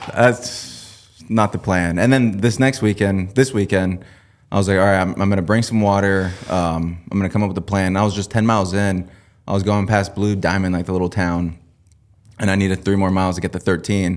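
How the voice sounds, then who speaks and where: Fairly quick and fairly even in intonation, a man with an ordinary speaking voice speaks at a fairly low pitch in a very clean recording with a silent background. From Washington State, US Pacific Northwest. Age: young. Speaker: hunter and digital ads specialist. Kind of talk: casual chat.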